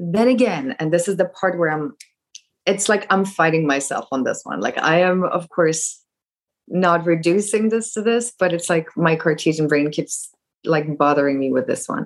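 An ordinary speaking voice from a woman, fairly low in pitch, at a moderate pace. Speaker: course participant. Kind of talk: casual Q&A. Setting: video call.

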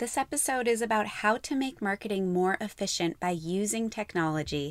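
In an unremarkable speaking voice, a woman talks at a medium pitch and moderate pace with lively intonation, on a very clean recording with a silent background. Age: 30s. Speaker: podcast host, marketing expert. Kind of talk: podcast monologue.

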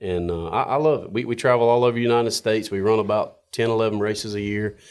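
A man with a North Carolina accent, fairly low pitch and a fairly quick pace. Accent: Southern US (North Carolina). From North Carolina, Johnston County. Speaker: coyote hunter and racer. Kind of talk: casual chat. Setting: studio.

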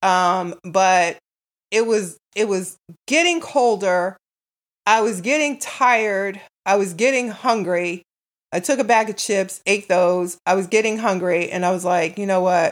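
A woman talks at a fairly slow pace, her pitch in the medium range. Hers is a normal speaking voice with ordinary pitch variation. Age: 60s. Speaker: podcaster. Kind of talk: casual monologue.

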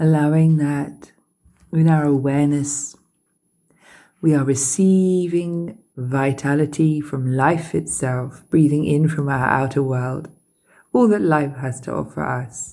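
A woman speaks at a very slow pace with a very deep, low pitch and fairly even intonation. Her tone is soothing, dark and mellow. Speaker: meditation teacher. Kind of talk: guided meditation with gentle body-awareness and breath cues. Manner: slow, unhurried pacing with pauses between breath cues; soft-spoken, soothing and invitational, never directive.

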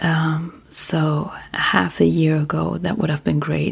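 A woman with a German accent and a calm tone, amid noticeable background noise. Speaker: sleep podcast host. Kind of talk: casual monologue; reading aloud.

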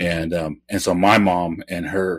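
On a very clean recording with a silent background and a dry, close sound with no echo, a man with an American accent speaks in a very deep, low voice with fairly even intonation. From Oklahoma, Kiowa and Cherokee communities. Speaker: novelist. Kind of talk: interview. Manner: halting, many fillers.

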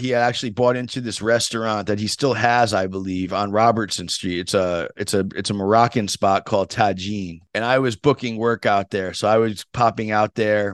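Here is a man with an American accent and an ordinary speaking voice, fairly low in pitch and fairly even in intonation. He keeps a moderate pace with hardly any pauses, recorded dry and close with no echo against a quiet background. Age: 50s. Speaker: tennis podcast host. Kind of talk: casual interview storytelling.

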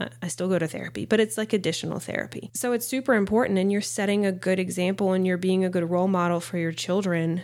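A woman with a Southern US accent talks at a very fast pace in a medium pitch, with ordinary pitch variation and hardly any pauses. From US South. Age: 30s. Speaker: podcast host, mother and nurse practitioner. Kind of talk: casual monologue.

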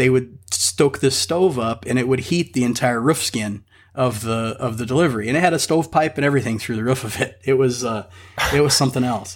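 At a fairly quick pace, a man with a plain, everyday voice speaks at a medium pitch with ordinary pitch variation. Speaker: car enthusiast. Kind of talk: casual chat.

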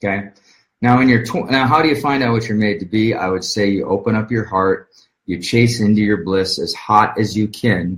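Fairly quick, somewhat breathy delivery from a man with a fairly low pitch and ordinary pitch variation. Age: 30s. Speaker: online marketing coach. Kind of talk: motivational talk. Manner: animated.

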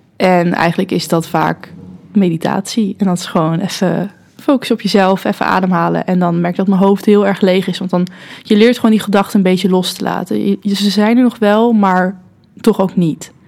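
Noticeable background noise sits behind a voice with fairly even intonation and a moderate pace. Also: woman, medium pitch for a woman. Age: 20s. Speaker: student and social media manager. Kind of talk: casual chat.

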